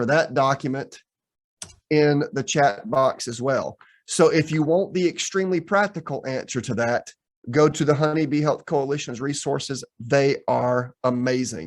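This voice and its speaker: A plain, everyday voice from a man with an American accent, fairly high in pitch, at a fairly slow pace with ordinary pitch variation. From US South. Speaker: professor. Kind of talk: lecture. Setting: video call.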